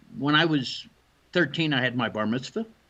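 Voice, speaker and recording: A man's fairly high voice, bright and sharp in tone, with lively intonation. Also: quiet background. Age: 70s. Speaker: photographer and shroud researcher. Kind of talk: interview.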